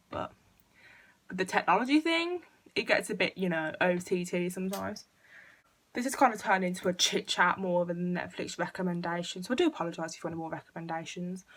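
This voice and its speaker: A woman with an English accent speaks at a fairly quick pace, with a medium pitch and ordinary pitch variation. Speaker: YouTuber. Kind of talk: casual chat. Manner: fast.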